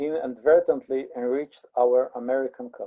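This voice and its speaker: A fairly slow pace with an Israeli accent. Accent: Israeli, Hebrew. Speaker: teacher or lecturer reading a text to a class.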